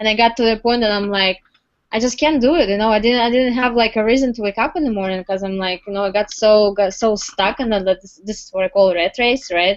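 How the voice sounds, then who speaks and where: In a Russian accent, the speaker goes at a very fast pace with ordinary pitch variation. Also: woman, fairly high pitch for a woman. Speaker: entrepreneur. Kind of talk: interview testimony. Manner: halting, many fillers.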